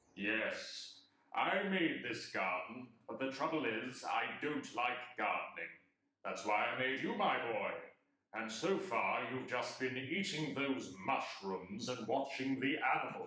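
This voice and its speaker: Using a put-on character voice, a man talks at a fairly slow pace and medium pitch, with a slight echo. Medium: audio drama. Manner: playful, self-satisfied, deadpan.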